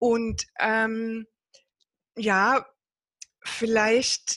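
A woman is speaking. Her pitch sits fairly high. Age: 50s. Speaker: network marketing entrepreneur. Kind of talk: interview.

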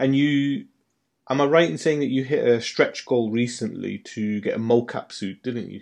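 A man at a medium pitch with ordinary pitch variation. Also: moderate pace. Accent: British. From UK. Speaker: podcast host. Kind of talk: casual chat.

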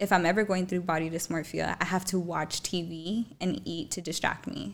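Speaking at a moderate pace with an American accent, a woman has a fairly low pitch, vocal fry and fairly even intonation, in a very clean recording with a silent background. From Tucson, Arizona. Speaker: TikTok influencer. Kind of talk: casual chat. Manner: laughs often, chatty.

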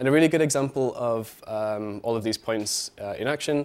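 The speaker has a British accent and ordinary pitch variation. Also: man. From UK. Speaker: marketing analyst. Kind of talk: conference talk. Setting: stage with audience. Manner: halting, filler-heavy.

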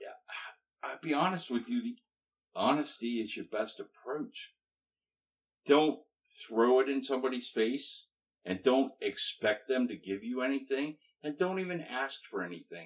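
A man at a moderate pace with lively intonation and long, frequent pauses. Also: fairly high pitch for a man. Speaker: guest, husband and singer in a band. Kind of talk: casual interview chat.

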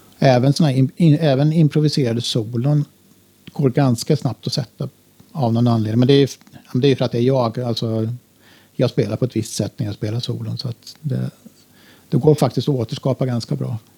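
A man's medium-pitched voice, somewhat breathy with a dark, mellow tone, at a fairly quick pace with fairly even intonation, long, frequent pauses and a dry, close sound with no echo. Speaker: electronic musician. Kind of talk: interview.

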